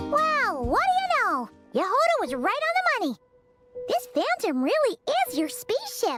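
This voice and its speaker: A cartoonish character voice at an extremely high pitch with very wide pitch swings over loud music in the background. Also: moderate pace. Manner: chirpy, lively.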